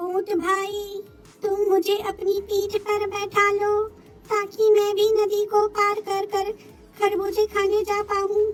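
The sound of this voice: A cartoonish character voice at an extremely high pitch, delivered in a monotone with flat intonation. The pace is fairly slow, with clear music playing in the background.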